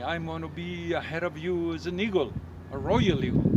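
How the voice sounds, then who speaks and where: At a moderate pace, a man speaks over noticeable background noise. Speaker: tour guide and history teacher. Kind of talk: tour guide narration, casual talk to camera. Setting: outdoors at sunrise. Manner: passionate, conversational.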